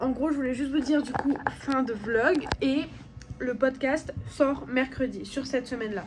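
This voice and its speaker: The woman's voice sits at a high pitch with fairly even intonation. Noticeable background noise runs underneath. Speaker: travel vlogger. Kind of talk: vlog narration. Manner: casual, filler-heavy.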